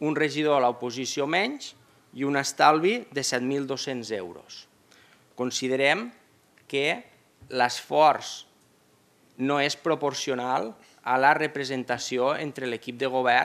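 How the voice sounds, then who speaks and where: A man speaks at a very slow pace with fairly even intonation and long, frequent pauses. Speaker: opposition councillor. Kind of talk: formal council debate. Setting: municipal council chamber. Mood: argumentative, measured. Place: hall. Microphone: podium.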